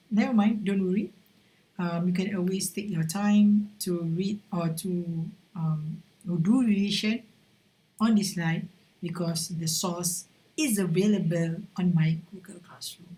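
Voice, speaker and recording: Somewhat breathy, a woman talks at a fairly slow pace with a Malaysian accent. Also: medium pitch for a woman, fairly even intonation. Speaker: university lecturer. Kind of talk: recorded lecture. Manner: halting, many fillers.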